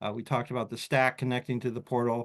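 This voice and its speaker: Over a quiet background, a man talks with an American accent. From US Northeast. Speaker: sales executive. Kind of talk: webinar presentation. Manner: fast.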